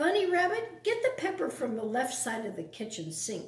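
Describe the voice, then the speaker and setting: Putting on a character voice, a woman growls in a gruff, high pitch at a moderate pace, with slight echo. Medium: read story. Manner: gruff, snarling, bossy.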